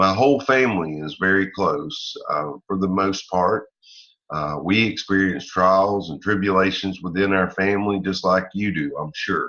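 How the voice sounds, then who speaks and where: With an American accent, a man speaks at a moderate pace in a very deep, low voice with ordinary pitch variation. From Northeast Florida near the Georgia line. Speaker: salesman and online marketer. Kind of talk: personal talk to camera.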